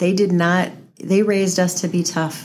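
A woman speaks in a fairly low pitch with an American accent. Her intonation is monotone and flat. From Henderson, Nevada. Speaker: mayor-elect. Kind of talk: interview.

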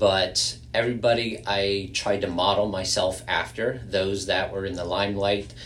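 Speaking at a moderate pace, a man has a low pitch, fairly even intonation and a fairly bright tone.

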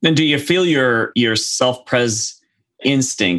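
The speaker has a normal speaking voice. The delivery is fairly slow. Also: man. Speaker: podcast host. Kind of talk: panel discussion, casual conversation.

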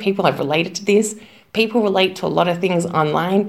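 In an Australian accent, a woman talks at a fairly quick pace with a medium pitch and fairly even intonation. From Melbourne, Australia. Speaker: English teacher, influencer. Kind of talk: recorded interview answer.

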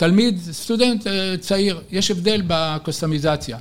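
Talking very slowly, a man uses a high-pitched voice with ordinary pitch variation. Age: 70s. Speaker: futurist and retired professor. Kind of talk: interview. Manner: energetic.

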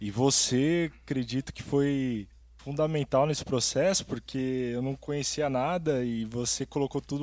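A man uses a normal speaking voice at medium pitch, with fairly even intonation and a fairly slow pace. The recording is very clean, with a silent background. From Brazil, São Paulo state (Ribeirão Preto). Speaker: musician and real estate agent, podcast co-host. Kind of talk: casual chat.

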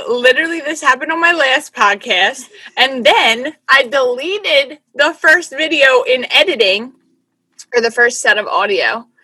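Raising and projecting her voice, a woman speaks at a fairly slow pace in a high pitch with a bright, sharp tone and lively intonation. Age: 20s. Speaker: podcast host. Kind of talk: casual chat.

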